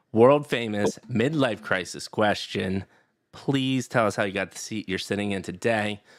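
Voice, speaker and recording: Recorded very cleanly against a silent background, a man speaks at a moderate pace in an animated tone, his fairly low pitch showing ordinary variation. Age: 40s. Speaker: podcast host. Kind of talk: podcast interview.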